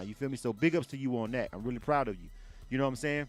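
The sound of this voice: A man's medium-pitched voice at a very fast pace, with ordinary pitch variation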